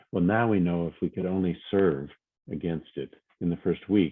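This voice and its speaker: In an American accent, a man with a very deep, low pitch speaks at a moderate pace with fairly even intonation. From US Midwest, Minnesota. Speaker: near-death experience speaker. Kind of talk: testimony.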